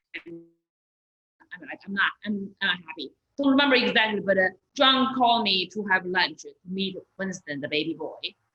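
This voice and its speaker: Her pitch swings very widely. The woman talks at a moderate pace in a Chinese accent. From China. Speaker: stand-up comedian and comedy club owner. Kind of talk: interview conversation. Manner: halting, repetitive.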